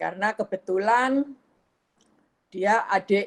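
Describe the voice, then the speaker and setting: The woman's pitch sits at a medium level with ordinary variation. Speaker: photographer presenting her work. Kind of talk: photo presentation in online discussion.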